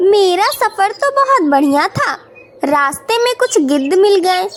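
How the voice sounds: In a cartoonish character voice, a woman speaks fairly slowly at an extremely high pitch with very wide pitch swings.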